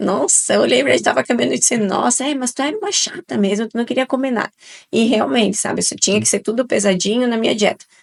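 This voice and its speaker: Speaking very fast, a woman uses lively intonation. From southern Brazil, Italian-descended region. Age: 40s. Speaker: nutrition guest expert. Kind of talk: podcast interview.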